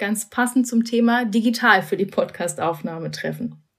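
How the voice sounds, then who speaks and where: In a plain, everyday voice, a woman talks at a moderate pace and a fairly high pitch. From Berlin. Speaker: podcast host. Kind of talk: interview; scripted intro. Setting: remote recording.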